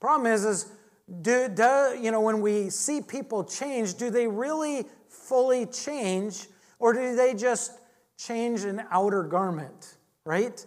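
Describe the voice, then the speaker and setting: In an American accent, a woman speaks very slowly at a fairly high pitch with ordinary pitch variation, and room echo is audible. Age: 50s. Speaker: pastor. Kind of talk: sermon. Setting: church.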